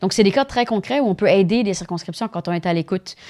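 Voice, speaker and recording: A woman talks with ordinary pitch variation. The recording is very clean with a silent background, and the sound is dry and close with no echo. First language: Spanish (speaking French). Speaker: politician. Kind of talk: interview. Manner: halting.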